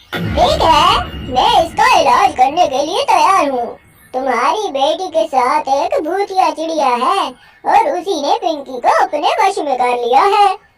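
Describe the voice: A cartoonish character voice sits at an extremely high pitch. It moves at a fairly slow pace.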